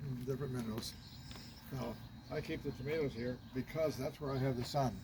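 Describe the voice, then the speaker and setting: A man speaks at a fairly quick pace in a medium pitch. His intonation is monotone and flat. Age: 80s+. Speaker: retired grandparent sharing gardening tips. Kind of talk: casual chat.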